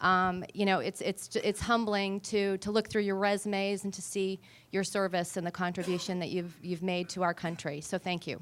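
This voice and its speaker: A woman speaks in a New England accent at a moderate pace with hardly any pauses. Her intonation is flat and monotone, and the recording is very clean with a silent background. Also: medium pitch for a woman. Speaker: talent acquisition director. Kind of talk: panel introduction.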